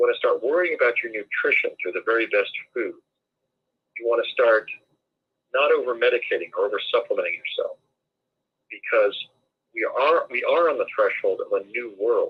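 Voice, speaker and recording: A man with an American accent moves at a fairly quick pace yet leaves long, frequent pauses. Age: 60s. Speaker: guest speaker on alternative topics. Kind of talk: interview conversation.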